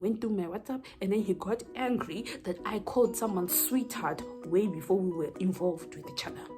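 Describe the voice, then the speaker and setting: With music in the background, a woman of medium pitch talks at a moderate pace with hardly any pauses, her intonation lively and her tone animated. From Zimbabwe. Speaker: YouTuber. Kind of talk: storytime, casual talk to camera. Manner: chatty, animated.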